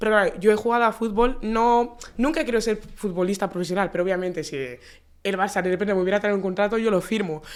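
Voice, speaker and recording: A woman talks at a very fast pace with hardly any pauses. Her pitch is medium, with ordinary variation. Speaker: aspiring sports journalist, podcast host. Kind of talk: casual interview chat.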